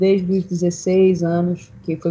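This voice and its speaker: A woman speaks in a fairly low, somewhat breathy voice with a dark, mellow tone. Her intonation stays monotone and flat. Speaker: singer-songwriter. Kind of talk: casual chat.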